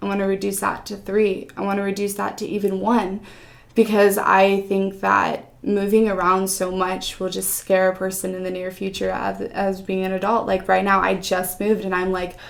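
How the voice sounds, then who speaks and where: With a Californian accent, a woman at medium pitch speaks at a moderate pace with hardly any pauses and a monotone, flat intonation. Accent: Californian American English. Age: 20s. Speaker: foster care advocate. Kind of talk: interview.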